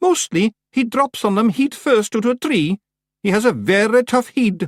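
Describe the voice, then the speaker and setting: The speaker uses a put-on character voice pitched fairly high. The delivery keeps a moderate speed. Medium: read story. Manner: respectful, careful.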